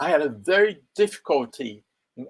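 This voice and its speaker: A man speaks at a fairly slow pace. He has a Japanese accent. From Japan, Okinawa. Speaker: English pronunciation coach. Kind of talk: live stream monologue. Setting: online live stream. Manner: halting, many self-corrections.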